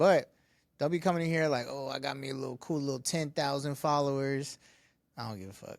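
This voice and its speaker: This man talks at a fairly quick pace, his loudness swinging widely. His pitch varies in an ordinary way. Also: very clean recording, silent background. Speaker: podcast co-host, studio owner. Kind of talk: casual chat.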